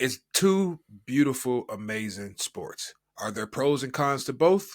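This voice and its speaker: A man with a normal speaking voice, fairly high in pitch, using lively intonation at a fairly slow pace, on a very clean recording with a silent background. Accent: American. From United States. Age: 30s. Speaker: podcast co-host. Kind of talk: casual chat.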